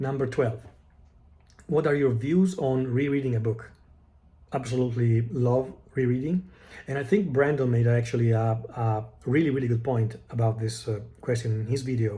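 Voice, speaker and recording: A man's medium-pitched, somewhat breathy voice in a dark, mellow tone, with ordinary pitch variation, a moderate pace, long, frequent pauses and audible room echo. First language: Italian. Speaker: book vlogger. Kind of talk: casual monologue answering tag questions. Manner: halting, many fillers and restarts.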